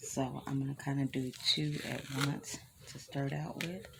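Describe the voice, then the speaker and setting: A woman speaking over noticeable background noise. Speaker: craft vlogger. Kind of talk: casual vlog. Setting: at home early morning. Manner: hesitant, many fillers.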